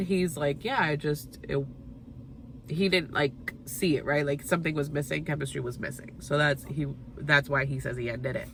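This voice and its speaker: The voice has an animated, bright, sharp tone. Its pitch variation is ordinary. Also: woman. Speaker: TV recap youtuber. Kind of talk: casual chat. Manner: fast.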